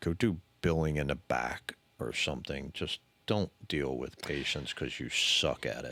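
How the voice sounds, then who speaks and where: A man mumbles fairly slowly in a very deep, low voice with vocal fry and a bright, sharp tone, his pitch varying in an ordinary way. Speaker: podcast co-host sharing his mental health story. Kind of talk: casual chat. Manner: mumbling.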